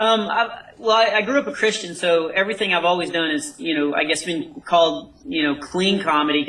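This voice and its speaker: Over noticeable background noise, a man with an American accent talks fairly quickly at a high pitch with lively intonation. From North Texas. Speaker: comedian. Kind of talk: interview.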